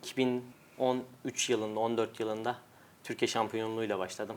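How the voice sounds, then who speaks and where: In a plain, everyday voice, a man talks at a moderate pace and a medium pitch. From Turkey, Adana. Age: 20s. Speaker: world champion arm wrestler. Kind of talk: interview.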